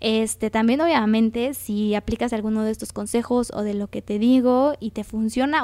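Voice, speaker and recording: With a Mexican accent, a woman speaks at a moderate pace in a fairly high pitch. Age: 20s. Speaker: podcast host and graphic designer. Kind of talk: casual solo podcast talk. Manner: conversational.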